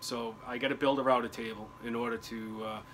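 A man speaks at medium pitch and a fairly quick pace, with a fairly bright tone and little pitch movement. Faint background noise is present.

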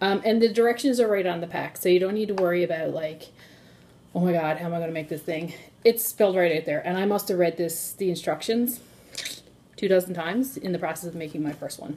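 Against light background noise, a woman with a fairly low pitch talks at a very fast pace. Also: ordinary pitch variation. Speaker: tea seller host. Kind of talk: casual tutorial chat. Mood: friendly, upbeat. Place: kitchen. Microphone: phone near.

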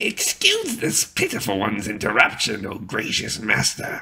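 Putting on a character voice, a man performs. He keeps a moderate pace. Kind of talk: archaic, third-person self-reference. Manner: groveling, servile.

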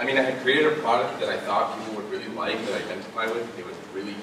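A man's voice with audible room echo and noticeable background noise. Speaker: speaker. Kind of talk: public talk. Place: stage.

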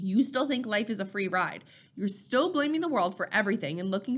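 What we hear is an unforced reading voice.

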